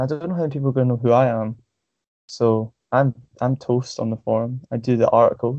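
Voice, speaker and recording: A man talks at a fairly quick pace in a Scottish accent. His medium-pitched voice has a monotone, flat intonation. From Scotland, Stirling. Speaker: forum member, podcast host. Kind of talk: casual chat. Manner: halting, many fillers.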